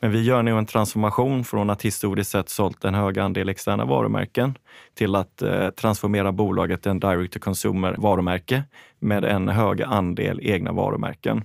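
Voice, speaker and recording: With an ordinary speaking voice, a man talks at a moderate pace and fairly low pitch, with ordinary pitch variation and very even loudness on a very clean recording with a silent background. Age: 40s. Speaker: fashion company CEO. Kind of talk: interview.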